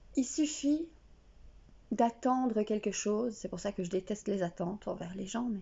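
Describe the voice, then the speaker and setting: A woman speaks at a fairly slow pace with lively intonation and a somewhat breathy voice. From Belgium. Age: 30s. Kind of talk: casual talk to camera. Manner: unprepared, raw, emotional.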